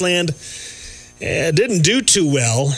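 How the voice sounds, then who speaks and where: Against noticeable background noise, a man speaks at a fairly slow pace in a fairly high pitch. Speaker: radio host. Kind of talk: radio show banter.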